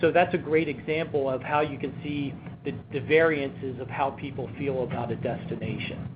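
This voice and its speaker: A man with an American accent speaks with fairly even intonation over noticeable background noise and audible room echo. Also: fairly high pitch for a man, moderate pace. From US, Baltimore. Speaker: travel insurance presenter. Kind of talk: webinar presentation. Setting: webinar. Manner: frequent fillers.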